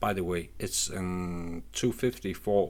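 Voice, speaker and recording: This man speaks with a non-native accent at a very slow pace. His pitch is very deep and low. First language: not English. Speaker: retro computer hobbyist YouTuber. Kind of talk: unscripted product review. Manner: halting, many restarts.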